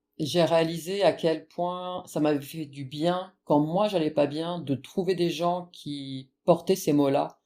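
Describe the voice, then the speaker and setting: In a very clean recording with a silent background, a woman with a dark, mellow tone and a fairly low pitch speaks very slowly, with fairly even intonation and hardly any pauses. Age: 40s. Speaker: abuse survivor giving testimony. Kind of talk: testimony interview. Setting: podcast.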